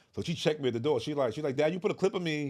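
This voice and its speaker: Talking at a very fast pace, a man uses a fairly high pitch with ordinary pitch variation. Noticeable background noise is present. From Newark, New Jersey. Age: 40s. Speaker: filmmaker. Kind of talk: podcast interview. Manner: casual, conversational.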